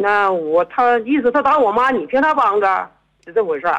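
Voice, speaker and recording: A woman speaks at a moderate pace. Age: 50s. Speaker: caller. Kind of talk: phone-in confession. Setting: phone call.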